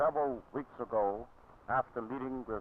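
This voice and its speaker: A man speaks at a moderate pace with an American accent, his medium pitch showing ordinary variation. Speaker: clergyman and civil rights leader. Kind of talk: prepared public statement for TV news. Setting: 1960 news film recording.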